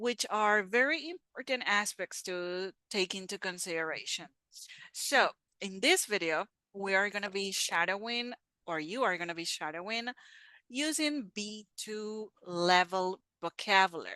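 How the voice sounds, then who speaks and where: The tone is bright and sharp, with ordinary pitch variation and a fairly slow pace. The sound is dry and close with no echo, over a quiet background. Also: woman, medium pitch for a woman. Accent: non-native. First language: not English. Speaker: English teacher. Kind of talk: tutorial.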